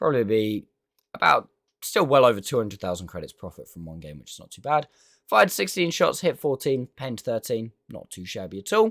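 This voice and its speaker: On a very clean recording with a silent background, a man with a British accent speaks at a medium pitch, swinging his pitch very widely. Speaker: gaming youtuber. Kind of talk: gameplay commentary outro. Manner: halting, many fillers.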